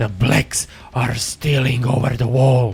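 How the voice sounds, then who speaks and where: A man talks in a put-on character voice. His pace is fairly slow and his intonation monotone and flat. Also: medium pitch for a man. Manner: hissed, urgent whisper.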